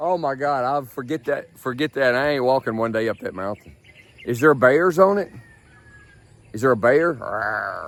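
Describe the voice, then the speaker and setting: A man speaks at a moderate pace and medium pitch, with an animated tone and ordinary pitch variation. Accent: Memphis. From US South, Memphis. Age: 60s. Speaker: travel vlogger. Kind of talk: casual vlog chat. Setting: outdoors, walking in the street.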